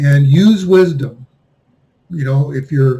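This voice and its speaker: A man talks in a fairly high pitch. His voice is somewhat breathy. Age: 60s. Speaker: finance commentator. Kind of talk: monologue commentary.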